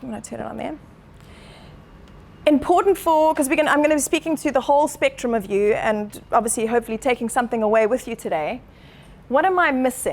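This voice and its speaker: A woman's high, passionate voice with lively intonation at a fairly quick pace. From Zimbabwe. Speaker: chiropractor. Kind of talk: talk to a live audience. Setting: meetup room with audience. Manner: fast, passionate.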